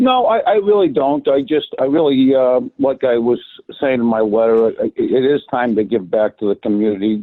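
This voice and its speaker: Very even loudness at a moderate pace. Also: man. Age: 60s. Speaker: retired electrical contractor, committee applicant. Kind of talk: public meeting remarks. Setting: phone call into online meeting. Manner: halting, repeats words.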